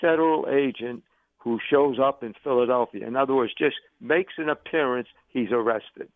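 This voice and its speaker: A man talks at a fairly high pitch in an unremarkable speaking voice, his pitch varying in an ordinary way. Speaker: caller. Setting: phone call.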